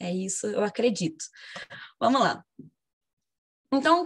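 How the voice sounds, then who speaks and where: A woman's somewhat breathy voice at a fairly high pitch and a fairly slow pace. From Brazil, Rio de Janeiro. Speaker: history teacher. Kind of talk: casual self-introduction; lecture.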